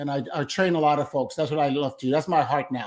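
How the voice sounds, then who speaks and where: The recording is very clean, with a silent background. A man with a fairly high pitch has an unremarkable speaking voice. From Brooklyn, New York. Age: 60s. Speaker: solar salesman and sales trainer. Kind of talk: interview.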